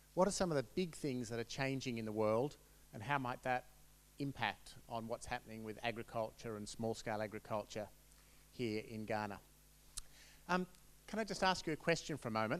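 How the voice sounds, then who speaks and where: With an Australian accent and lively intonation, a man speaks at a medium pitch and a fairly quick pace, broken by long, frequent pauses. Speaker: researcher presenting at a conference. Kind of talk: conference presentation. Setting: conference room with audience.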